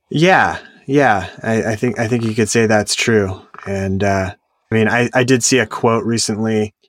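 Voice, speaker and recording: A man speaks at medium pitch and a moderate pace with fairly even intonation. The recording is very clean, with a silent background. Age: 40s. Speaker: founder and CEO of a software staffing agency. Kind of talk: interview.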